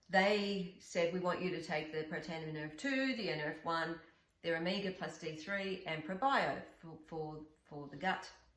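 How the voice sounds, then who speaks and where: At a moderate pace, a woman speaks with a fairly low pitch and ordinary pitch variation, amid noticeable background noise and audible room echo. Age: 60s. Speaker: wellness coach and podcast co-host. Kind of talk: casual interview chat.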